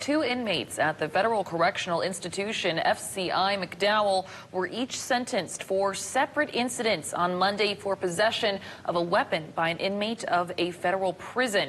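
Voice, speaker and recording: A woman with an American accent speaks at a moderate pace and medium pitch, with ordinary pitch variation and hardly any pauses. Background noise is noticeable. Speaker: morning news anchor and producer for a local TV station. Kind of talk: newsroom desk banter with co-anchor.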